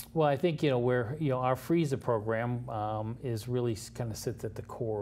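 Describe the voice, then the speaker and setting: The man's tone is dark and mellow, and somewhat breathy. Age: 60s. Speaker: nonprofit founder. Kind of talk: interview. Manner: halting, many fillers.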